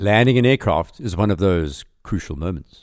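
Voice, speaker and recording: A man speaks at a moderate pace in a normal speaking voice with a fairly low pitch. His intonation is lively, and the recording is very clean with a silent background. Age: 50s. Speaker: podcast host and pilot. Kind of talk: scripted narration. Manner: formal.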